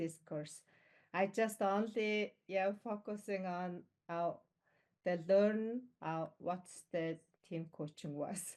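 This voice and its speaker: A woman speaks with a non-native accent at a very slow pace. Her pitch varies in an ordinary way. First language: not English. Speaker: team coaching graduate, full-time coach. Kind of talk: online event testimony. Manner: halting, many fillers.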